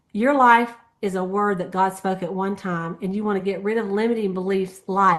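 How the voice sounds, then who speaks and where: A plain, everyday voice talks at a moderate pace. Its pitch varies in an ordinary way against a quiet background. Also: woman. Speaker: sales team leader. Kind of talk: team meeting recap.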